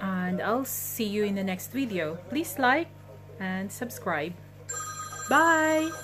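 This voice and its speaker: There is noticeable background noise behind this woman. She talks at a very slow pace with long, frequent pauses. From Philippines. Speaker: vlogger. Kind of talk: cooking vlog narration.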